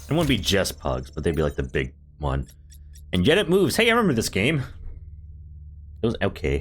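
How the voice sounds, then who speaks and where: A man talking at a fairly quick pace, long, frequent pauses and music in the background. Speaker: gaming streamer. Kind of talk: live gameplay commentary. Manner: casual.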